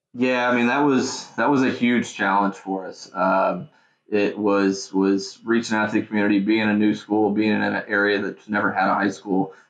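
With an American accent, a man speaks at a moderate pace in a plain, everyday voice. His pitch is fairly low and his intonation fairly even. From Indiana, Indianapolis suburb. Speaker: high school baseball coach. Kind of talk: casual interview. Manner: many fillers and repetitions.

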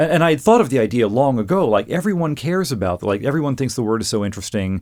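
Speaking at a very fast pace with lively intonation, a man comes through in a very clean recording against a silent background. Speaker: lexicographer and author. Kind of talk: casual interview chat. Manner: hesitant, thoughtful, with fillers.

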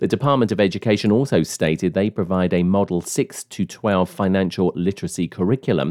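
A man with a British accent has a very deep, low pitch and a dark, mellow tone with lively intonation. The sound is dry and close with no echo, over a quiet background. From United Kingdom. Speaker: podcast host. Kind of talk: news reading; interview.

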